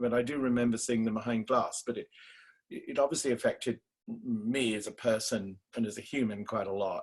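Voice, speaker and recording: Speaking at a fairly quick pace with an English accent, a man keeps a medium pitch and fairly even intonation. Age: 60s. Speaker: theatre director. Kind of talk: interview. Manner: halting.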